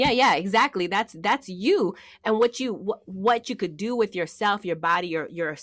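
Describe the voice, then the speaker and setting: A woman's fairly high voice with lively intonation at a moderate pace, on a very clean recording with a silent background. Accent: Oakland. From Oakland, California. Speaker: actress and acting teacher. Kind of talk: casual interview chat.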